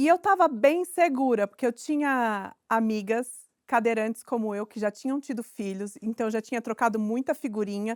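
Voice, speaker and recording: In a very clean recording with a silent background and a dry, close sound with no echo, a woman speaks in a normal speaking voice at a fairly high pitch, with ordinary pitch variation and a moderate pace. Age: 40s. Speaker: actress and inclusion consultant. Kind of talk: interview.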